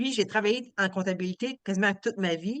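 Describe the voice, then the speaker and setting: A woman with lively intonation at a fairly slow pace, against a quiet background. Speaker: retired accountant. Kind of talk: testimony. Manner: loud.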